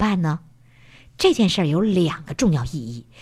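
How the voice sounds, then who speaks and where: A woman speaks at a fairly quick pace in a somewhat breathy voice with very wide pitch swings, on a very clean recording with a silent background. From Heilongjiang, northeast China. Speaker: parenting program host. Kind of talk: interview. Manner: animated.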